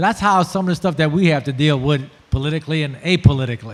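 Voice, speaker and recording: A man speaks at a fairly high pitch in a South Louisiana accent with ordinary pitch variation, over noticeable background noise. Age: 60s. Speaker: shrimper and oyster farmer. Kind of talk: panel discussion. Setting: festival panel with audience.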